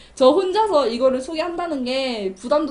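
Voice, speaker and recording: Her intonation is lively as this woman speaks in an animated tone. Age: young. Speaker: community TV film review host. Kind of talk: film review monologue.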